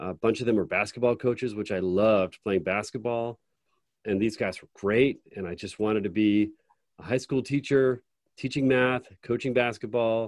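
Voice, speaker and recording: Speaking at a moderate pace, a man with an ordinary speaking voice at medium pitch keeps a fairly even intonation. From rural upstate New York. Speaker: podcast host. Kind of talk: interview.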